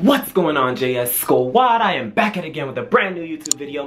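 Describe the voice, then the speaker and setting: There is light background noise. A man does the talking. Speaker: vlogger. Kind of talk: casual vlog chat. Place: home room. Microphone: phone near.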